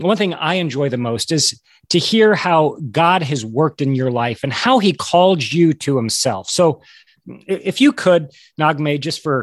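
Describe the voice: A man speaks at a fairly slow pace, his fairly high voice carrying lively intonation.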